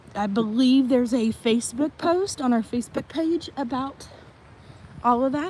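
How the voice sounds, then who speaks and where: Over noticeable background noise, a woman with a Tennessee accent speaks at a fairly slow pace. Her voice is high, with ordinary pitch variation. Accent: Southern US (Tennessee). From Tennessee, US South. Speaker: vlogger giving a live resort tour. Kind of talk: live-stream walking tour. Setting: outdoors, walking around a resort.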